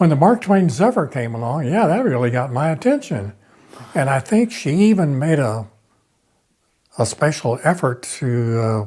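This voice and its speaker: A man speaks at a moderate pace with a fairly high pitch, a dark, mellow tone and a somewhat breathy quality. His pitch swings very widely, and he takes long, frequent pauses. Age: 90s. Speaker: local artist. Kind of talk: interview.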